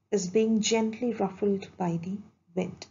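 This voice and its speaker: A woman's somewhat breathy voice proceeds at a fairly slow speed. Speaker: video lecturer. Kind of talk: lecture. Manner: formal; measured.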